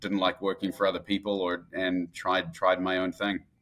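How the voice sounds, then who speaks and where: Monotone and flat, a man's very deep, low voice moves at a fairly quick pace. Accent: New Zealand. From New Zealand, Christchurch then Auckland. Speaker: entrepreneur, real estate investor. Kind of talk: podcast interview. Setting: remote, at a conference in Dallas.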